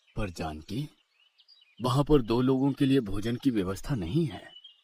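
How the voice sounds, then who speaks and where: Using a cartoonish character voice, a man speaks at a medium pitch and a moderate pace. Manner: calm, serene.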